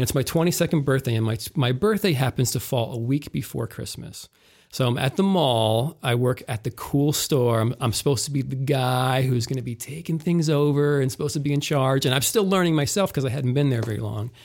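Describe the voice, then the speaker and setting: At a fairly quick pace with hardly any pauses, a man with an American accent uses an ordinary speaking voice at medium pitch in a very clean recording with a silent background. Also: ordinary pitch variation. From northeast Ohio. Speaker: technical theater manager. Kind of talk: interview.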